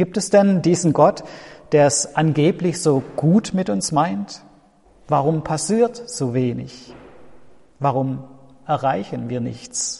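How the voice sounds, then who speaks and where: This man's pitch is fairly high and somewhat breathy, with very wide swings. He talks at a very slow pace with long, frequent pauses. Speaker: pastor. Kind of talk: sermon, a warm pastoral address to the congregation, with an earnest, reflective tone. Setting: church. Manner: measured and earnest, with a sincere, comforting delivery.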